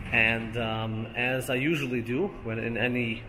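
Noticeable background noise runs under the recording. The speaker is a man. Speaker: travel vlogger. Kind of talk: casual vlog chat. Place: shop. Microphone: phone near.

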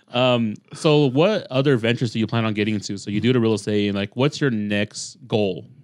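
A man with a medium-pitched voice, ordinary pitch variation and a fairly quick pace, hardly any pauses, in a quiet background with a dry sound and no echo. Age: 30s. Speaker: podcast host. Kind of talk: casual chat. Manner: fast. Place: studio. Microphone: studio mic.

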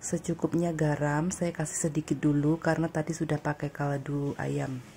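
A woman's very deep, low voice, somewhat breathy and dark and mellow in tone, with monotone, flat intonation at a moderate pace. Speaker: domestic worker vlogger. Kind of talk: casual vlog, cooking. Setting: home kitchen.

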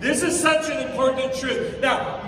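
A man speaks in a confident, animated tone. Noticeable background noise and audible room echo surround him. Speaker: pastor. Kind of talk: sermon. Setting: church with live audience. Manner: conversational and humorous, building to a confident, urgent delivery. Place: hall.

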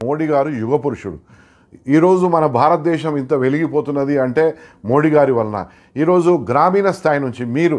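The man's fairly high voice shows ordinary pitch variation. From Telangana, India. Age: 60s. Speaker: film producer; interviewee. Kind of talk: interview. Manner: animated. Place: home room. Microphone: lapel.

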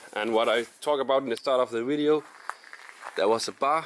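A man speaks at a moderate pace with ordinary pitch variation against light background noise. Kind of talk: casual vlog chat. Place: garden. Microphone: phone near.

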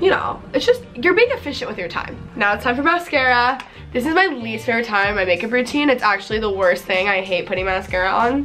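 A woman speaks at a very fast pace with faint music in the background. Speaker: beauty vlogger. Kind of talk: casual vlog chat. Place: home room.

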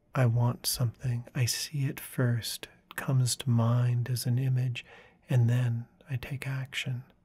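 A soft-spoken man talks fairly slowly at a medium pitch, calm and somewhat breathy. His tone is dark and mellow, his intonation flat and monotone. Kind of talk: guided meditation talk about inner imagery. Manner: soft-spoken, calm.

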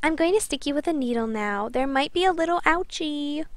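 A woman uses a put-on character voice with a high pitch. She speaks at a fairly quick pace. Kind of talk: baby-talk. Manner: cloying, saccharine.

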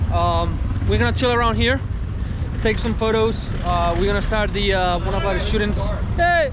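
A man speaks with long, frequent pauses, the sound dry with no echo and the background noise noticeable. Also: moderate pace. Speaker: travel vlogger. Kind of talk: casual travel vlog narration. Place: street. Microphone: phone near.

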